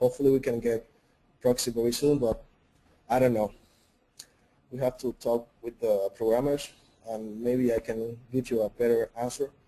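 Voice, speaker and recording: This man has a dark, mellow tone at a medium pitch, in a Spanish accent. His intonation stays fairly even. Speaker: 3D artist and software trainer. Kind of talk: webinar Q&A. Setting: online webinar.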